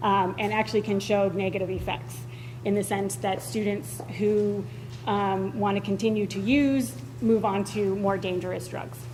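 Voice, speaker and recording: A woman speaks loudly at a moderate pace. Audible room echo surrounds her voice. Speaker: school board member. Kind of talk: public meeting debate. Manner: hesitant, many fillers.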